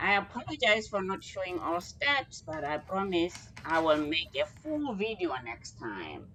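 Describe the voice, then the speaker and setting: This woman's medium-pitched voice moves at a fairly slow pace with very wide pitch swings. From Botswana. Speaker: home cooking video host. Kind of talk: cooking tutorial. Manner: casual, chatty.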